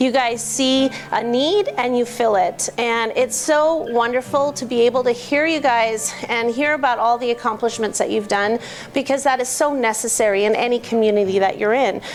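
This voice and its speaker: A woman speaks at a high pitch and a moderate pace with hardly any pauses, ordinary pitch variation and very even loudness, over noticeable background noise. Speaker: business association co-founder. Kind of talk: speech to a club meeting.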